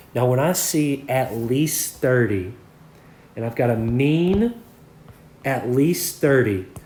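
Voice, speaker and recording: With audible room echo, a man speaks at a very slow pace and medium pitch, somewhat breathy, with ordinary pitch variation and long, frequent pauses. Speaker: math teacher. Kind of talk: lecture. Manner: conversational, frequent 'okay' and 'all right'.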